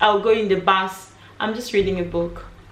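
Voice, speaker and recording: At a moderate pace, a woman talks at a medium pitch, with noticeable background noise and some audible echo from the room. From DR Congo. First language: French. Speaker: author and writing coach. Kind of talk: casual vlog talk. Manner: halting, many fillers.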